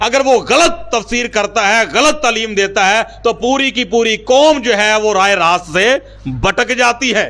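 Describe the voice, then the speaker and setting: A man speaks in a raised, projected voice with an extremely high pitch and a bright, sharp tone. His pitch variation is ordinary and his loudness very even. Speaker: pastor, church preacher. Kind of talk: sermon-style motivational speech.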